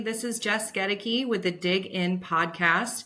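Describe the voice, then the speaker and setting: Bright and sharp, this woman's voice has a medium pitch and ordinary pitch variation. She speaks with a Californian accent. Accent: General American (Californian). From US West Coast, San Francisco Bay Area. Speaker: podcast host. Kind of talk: interview. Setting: podcast recording. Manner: animated.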